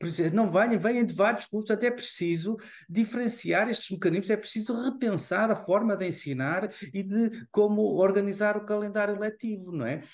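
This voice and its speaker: A man's high pitch with ordinary pitch variation at a moderate pace. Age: 60s. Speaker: university professor and former rector. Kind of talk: online panel discussion.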